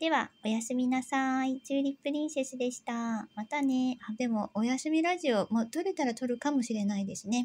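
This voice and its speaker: At a fairly quick pace with hardly any pauses, a woman with a high pitch speaks in a gentle tone. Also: ordinary pitch variation. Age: 40s. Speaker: YouTuber, housewife; home food vlogger. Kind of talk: casual vlog narration. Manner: hesitant, many fillers; polite, gentle. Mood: relaxed, soft night talk. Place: home room. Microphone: phone near.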